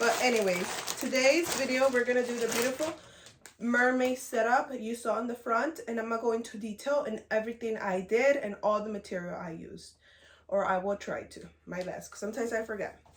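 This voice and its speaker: Against noticeable background noise, a woman with a fairly high pitch speaks at a fairly quick pace, her loudness swinging widely. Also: ordinary pitch variation. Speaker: balloon decorator. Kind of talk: tutorial. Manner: casual, chatty.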